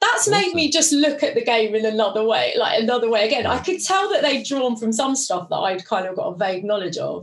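A woman talks very fast in a high voice. Her pitch swings very widely. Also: hardly any pauses. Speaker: podcast host. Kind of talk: casual chat.

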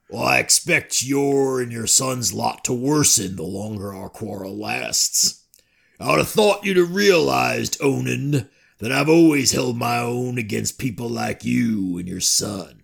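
In a put-on character voice, a raspy man talks at a moderate pace with a medium pitch. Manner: strained put-on.

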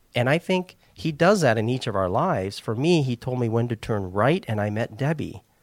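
On a very clean recording with a silent background and a dry, close sound with no echo, a man with an American accent talks at a moderate pace in a medium pitch, with lively intonation and hardly any pauses. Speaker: missionary. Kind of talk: casual interview.

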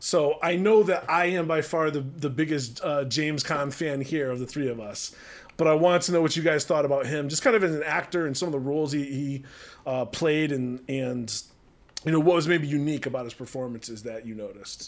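In an American accent, a man talks fairly quickly in a plain, everyday voice, fairly high in pitch with ordinary pitch variation. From US East Coast. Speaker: podcast host. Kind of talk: casual chat.

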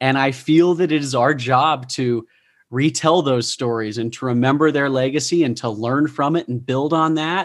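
Against a quiet background, a man with an American accent uses an ordinary speaking voice at a moderate pace. His pitch is fairly high, with ordinary pitch variation. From Utah. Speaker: podcast host and professional speaker. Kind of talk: interview.

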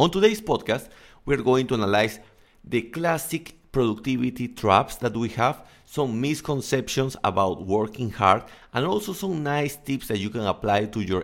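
Speaking at a moderate pace with a Spanish accent, a man swings his pitch very widely. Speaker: English coach and podcaster. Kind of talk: casual solo podcast monologue.

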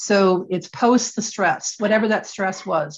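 This is an ordinary speaking voice with fairly even intonation. The pace is fairly slow. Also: woman. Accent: American. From Michigan, US Midwest. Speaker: attorney and women's advocate. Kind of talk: interview.

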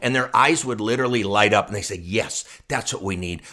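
The man's tone is bright and sharp. He speaks very fast. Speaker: retirement expert and author. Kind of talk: interview, explanatory talk.

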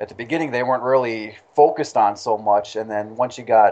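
A man speaks in an ordinary speaking voice at a fairly quick pace. His pitch varies in an ordinary way. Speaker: wrestling fan guest. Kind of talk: casual chat.

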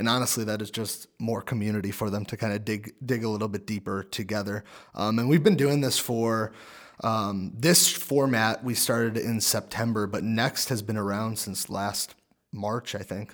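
A man speaks in a normal speaking voice at a fairly low pitch, with fairly even intonation and a moderate pace, on a very clean recording with a silent background. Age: 20s. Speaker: church young adults director. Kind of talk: casual chat.

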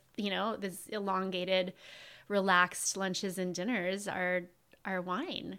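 In a very clean recording with a silent background, a woman with an American accent speaks fairly slowly in a bright, sharp tone. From Southern California (Ventura). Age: 40s. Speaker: sommelier and wine shop owner. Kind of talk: casual chat.

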